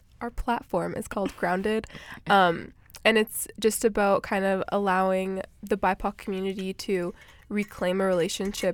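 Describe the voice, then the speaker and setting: A woman's plain, everyday voice with a Canadian accent, medium pitch, fairly even intonation and moderate pace, in a very clean recording with a silent background. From Edmonton, Canada. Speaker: youth community organizer. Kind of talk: interview.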